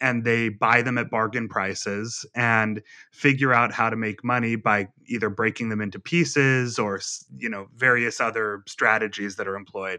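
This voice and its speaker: At a moderate pace, the speaker uses a normal speaking voice with fairly even intonation. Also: man, medium pitch for a man. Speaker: magazine journalist author. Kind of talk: interview conversation.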